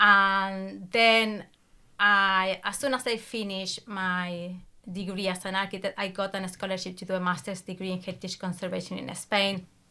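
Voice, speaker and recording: On a very clean recording with a silent background, a woman with an Argentine accent speaks at a medium pitch and moderate pace in a bright, sharp tone with monotone, flat intonation. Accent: Argentine Spanish accent, noticeable. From Argentina. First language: Spanish. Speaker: academic coach, PhD graduate. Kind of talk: interview conversation.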